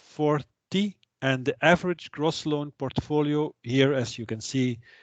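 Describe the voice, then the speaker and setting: A man speaks with a Flemish accent. His pitch is fairly high and his pace fairly slow. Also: dry, close sound with no echo. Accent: Flemish Dutch accent in English. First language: Dutch. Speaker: trainer. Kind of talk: lecture. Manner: halting.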